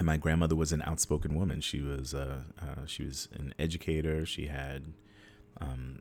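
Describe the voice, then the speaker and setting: A man with an American accent, very deep low pitch, vocal fry, monotone flat intonation and a moderate pace. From United States, Haitian family. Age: 40s. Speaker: performance artist and librettist. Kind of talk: interview. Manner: halting, many fillers.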